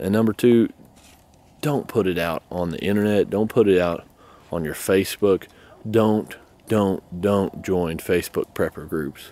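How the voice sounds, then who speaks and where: A man with a dark, mellow tone and fairly low pitch, fairly slow pace, ordinary pitch variation and long, frequent pauses. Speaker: homesteading prepper YouTuber. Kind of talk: casual vlog talk to camera. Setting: outdoors by goat pen. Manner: informal, rambling rant.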